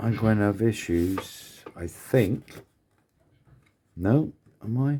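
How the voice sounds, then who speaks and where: Mumbling at a very slow pace with long, frequent pauses, the speaker has a dark, mellow tone and ordinary pitch variation. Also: man, fairly low pitch for a man. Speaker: scale model builder. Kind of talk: casual build tutorial.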